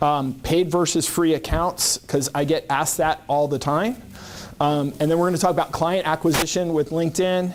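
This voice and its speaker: A man with a fairly high pitch and a plain, everyday voice talks at a moderate pace, his intonation fairly even and his loudness very even. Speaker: LinkedIn marketing consultant. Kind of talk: presentation to a business group.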